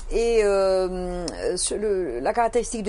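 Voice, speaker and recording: A woman's dark, mellow voice at a medium pitch, with a Toulouse accent. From southern France, Toulouse. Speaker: accountant and business owner. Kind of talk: interview. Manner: hesitant, many fillers.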